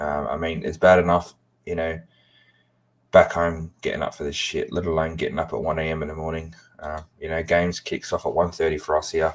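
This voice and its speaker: On a very clean recording with a silent background, a man with an English accent speaks at a fairly quick pace. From England. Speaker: football fan streamer. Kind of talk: live watchalong chat. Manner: halting, many fillers.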